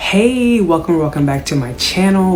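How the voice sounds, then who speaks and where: A woman speaks at a moderate pace. Noticeable background noise and audible room echo are present. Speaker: YouTuber sharing former MLM experience. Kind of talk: video introduction; interview.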